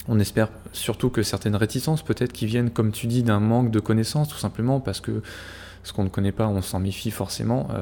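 A man's fairly low-pitched voice, dark and mellow in tone, at a fairly quick pace with ordinary pitch variation. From France, Normandy. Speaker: podcast host, hockey statistics analyst. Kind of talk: casual chat.

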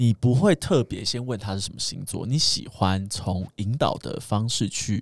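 A man at a fairly slow pace with hardly any pauses, somewhat breathy, with lively intonation. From Taiwan. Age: 30s. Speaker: podcast guest. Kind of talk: casual chat.

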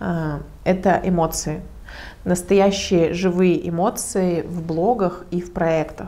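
With audible room echo, a woman speaks very slowly in a dark, mellow tone, her pitch fairly low and her intonation fairly even. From Russia, Protvino (Moscow region). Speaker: digital marketer and community organizer. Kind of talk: lecture.

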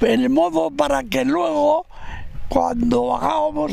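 A man talks at a very slow pace. Background noise is noticeable. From Navarre, Spain (Burgui, Roncal valley). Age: 80s+. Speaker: retired log raftsman. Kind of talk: oral history testimony. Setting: outdoors by the river.

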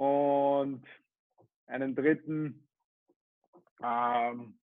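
Monotone and flat, a man's voice holds a fairly high pitch. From Austria, Vienna. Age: 20s. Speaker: personal trainer and PE teacher. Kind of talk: casual interview.

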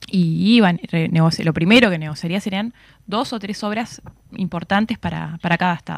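A woman's medium-pitched voice, fairly slow, with vocal fry. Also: ordinary pitch variation. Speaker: political analyst and university lecturer. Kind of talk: radio interview.

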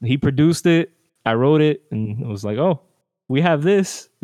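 A man with an ordinary speaking voice and an American accent talks at a fairly high pitch. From New Jersey / New York and Dominican Republic. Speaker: musician. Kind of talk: interview.

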